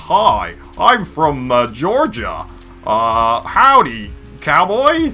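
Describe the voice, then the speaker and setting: Over clear background music, a man does a put-on character voice at a high pitch and a very slow pace. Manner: playful, exaggerated.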